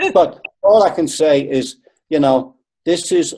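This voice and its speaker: The voice is a man's, dark and mellow. He talks with an American accent. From northern England, Liverpool. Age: 60s. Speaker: qigong expert and acupuncturist. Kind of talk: webinar talk. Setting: webinar.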